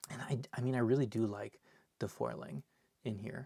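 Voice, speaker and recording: A man with a dark, mellow tone speaks at medium pitch and a moderate pace. His pitch varies in an ordinary way, and the sound is dry and close with no echo. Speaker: card collector and seller opening packs. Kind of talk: live stream box opening. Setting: live stream.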